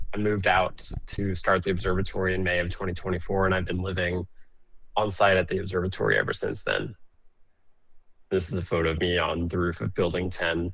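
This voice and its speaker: An American accent at a moderate pace. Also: man. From Arizona, US. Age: 20s. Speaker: astrophotographer, observatory co-founder. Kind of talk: presentation.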